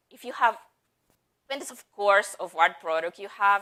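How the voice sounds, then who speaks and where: A woman's bright, sharp tone. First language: not English. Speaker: head of marketing at a software company, conference speaker. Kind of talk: conference talk.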